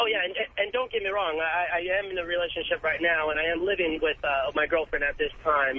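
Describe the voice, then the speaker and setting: A man with a high voice talks at a fairly quick pace over noticeable background noise. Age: 30s. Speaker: caller. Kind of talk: phone-in call. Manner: halting.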